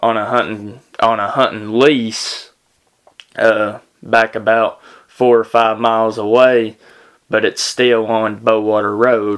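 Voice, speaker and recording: A man with a Tennessee accent speaks at a medium pitch in a flat monotone, very slowly. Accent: Southern US (Tennessee). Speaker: podcast host. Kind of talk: casual storytelling monologue. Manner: halting, many fillers.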